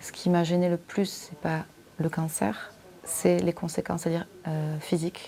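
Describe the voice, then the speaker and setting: Over noticeable background noise, a woman with a fairly low pitch speaks at a moderate pace in a flat, monotone way. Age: 30s. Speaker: breast cancer patient. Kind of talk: testimony. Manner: halting.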